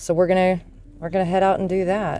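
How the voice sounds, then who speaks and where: Over faint background music, a woman speaks at a fairly low pitch in a dry sound with no echo. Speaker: vintage reseller vlogger. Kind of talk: casual vlog chat. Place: car.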